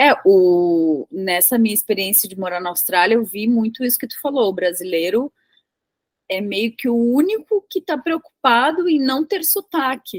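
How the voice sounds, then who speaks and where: A woman speaks at a moderate pace and fairly high pitch, with very wide pitch swings. The sound is dry and close with no echo. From southern Brazil (Rio Grande do Sul). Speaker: tech professional and English teacher. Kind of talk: casual interview conversation.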